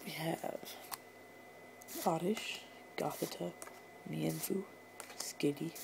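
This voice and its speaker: Someone speaks very slowly and quietly over noticeable background noise. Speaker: YouTuber opening trading card packs. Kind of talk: casual pack-opening commentary. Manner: quiet, keeping voice down.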